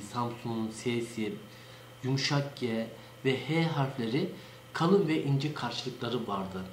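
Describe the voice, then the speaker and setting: Amid light background noise and audible room echo, a man speaks very slowly with ordinary pitch variation. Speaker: local dialect enthusiast. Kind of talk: informal educational talk. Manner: hesitant, many filler sounds. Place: office. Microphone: webcam.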